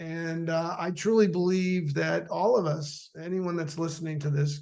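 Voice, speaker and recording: A man speaks at a moderate pace in a high-pitched voice with fairly even intonation. Audible room echo surrounds the recording. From Canada. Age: 60s. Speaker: former athlete. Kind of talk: casual interview chat.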